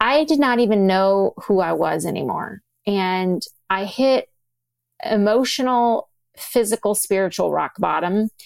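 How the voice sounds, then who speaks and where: A woman with a plain, everyday voice speaks at a medium pitch with lively intonation, the sound dry and close with no echo on a very clean recording with a silent background. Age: 40s. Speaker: physician and author. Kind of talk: interview conversation.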